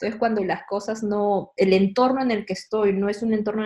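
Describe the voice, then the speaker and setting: Speaking very fast, a woman has a medium pitch, fairly even intonation, a somewhat breathy quality and a dark, mellow tone. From Peru, Lima. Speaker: church staff member. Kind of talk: casual panel conversation.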